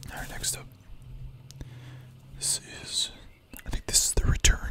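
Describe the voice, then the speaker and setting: Someone is whispering at a moderate pace. There is noticeable background noise. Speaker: ASMR streamer. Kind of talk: ASMR whispered comic book review. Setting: live stream.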